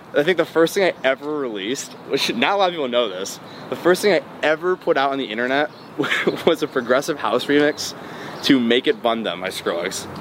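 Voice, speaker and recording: A man with an American accent, fairly high pitch and very wide pitch swings, at a fairly quick pace amid noticeable background noise. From US Midwest, Metro Detroit, Michigan. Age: 20s. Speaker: electronic music producer. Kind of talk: interview. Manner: casual, filler-heavy.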